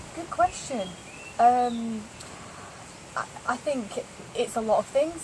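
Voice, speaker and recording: Over noticeable background noise, a woman with a northern English accent speaks at a fairly slow pace with lively intonation. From northern England, Lancashire. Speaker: interviewee, law of attraction practitioner. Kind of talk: casual interview. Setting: yoga retreat in Thailand.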